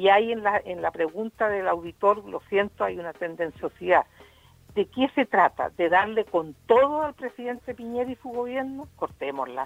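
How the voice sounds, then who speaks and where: A woman with a medium-pitched voice talks at a moderate pace, her pitch swinging very widely. Her loudness rises and falls a lot, and the sound is dry and close with no echo. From Chile, Concepción area. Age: 70s. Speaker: doctor and commentator. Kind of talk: casual chat. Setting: remote from home. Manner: halting, repeats words.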